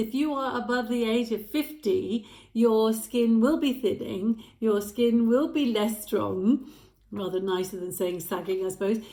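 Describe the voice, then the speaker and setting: At a moderate pace, a woman speaks with a fairly high pitch, lively intonation and a dark, mellow tone. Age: 60s. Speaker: lifestyle vlogger. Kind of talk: casual talk to camera. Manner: hesitant with fillers.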